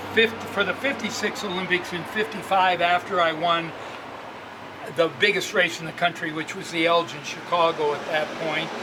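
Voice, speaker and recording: With noticeable background noise, a man speaks at a moderate pace in a high pitch. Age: 80s+. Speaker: bike shop owner and former racing cyclist. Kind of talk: casual interview storytelling.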